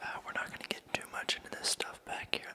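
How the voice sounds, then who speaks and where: A man whispers in a relaxed tone over noticeable background noise. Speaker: ASMR artist. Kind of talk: ASMR massage roleplay, personal attention. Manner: soft-spoken, relaxed.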